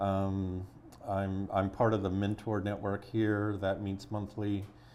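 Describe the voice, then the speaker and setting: A man with an American accent speaks very slowly. His pitch is fairly low and his intonation flat and monotone. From US Midwest, Chicago. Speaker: entrepreneurship nonprofit founder. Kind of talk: podcast interview.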